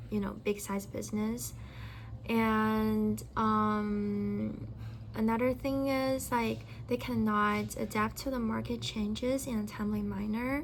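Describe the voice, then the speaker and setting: In a Chinese accent, a woman speaks at a very slow pace. Audible room echo surrounds her voice. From China. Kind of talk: casual discussion. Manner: halting.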